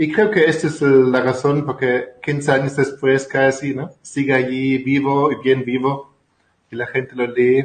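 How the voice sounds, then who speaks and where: A man speaks fairly slowly with a slight German accent, his medium-pitched voice held to a fairly even intonation. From Germany. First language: German (speaking Spanish). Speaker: family constellation therapist and author. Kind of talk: interview. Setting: video call.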